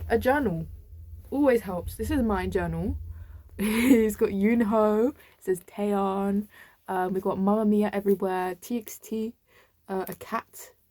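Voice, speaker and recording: In a British accent, a woman speaks with a dark, mellow tone at a medium pitch and fairly even intonation. She goes at a fairly slow pace with long, frequent pauses, on a very clean recording with a silent background. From UK. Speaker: vlogger. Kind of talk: casual chat.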